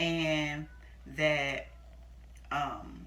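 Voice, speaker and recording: A woman talks in a room with audible echo. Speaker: youtuber sharing personal stories. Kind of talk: casual storytelling to camera. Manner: halting, skips and repeats.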